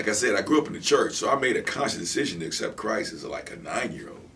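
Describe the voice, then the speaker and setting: The man talks very fast. Background noise can be clearly heard throughout. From Michigan, Ann Arbor. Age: 50s. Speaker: guest on faith talk show. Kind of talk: casual interview. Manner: repetitive stammering.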